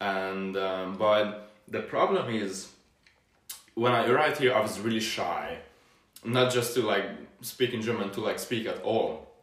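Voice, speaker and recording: A man with a Hungarian accent at medium pitch, fairly slow and fairly even in intonation, with long, frequent pauses. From Hungary. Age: 20s. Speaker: university student. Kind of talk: casual interview. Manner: cheerful, laughs often.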